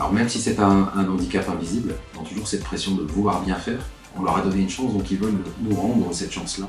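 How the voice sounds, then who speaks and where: A man talks at a very fast pace in a fairly low pitch, his intonation fairly even. Music plays in the background. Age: 50s. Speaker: manager and part-time university lecturer. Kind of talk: interview answer.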